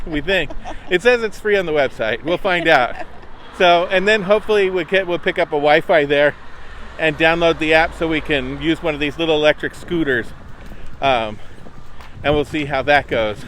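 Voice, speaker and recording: A man with a fairly high pitch and ordinary pitch variation, moderate in pace with long, frequent pauses, over noticeable background noise. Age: old. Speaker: travel vlogger. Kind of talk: casual chat. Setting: outdoors.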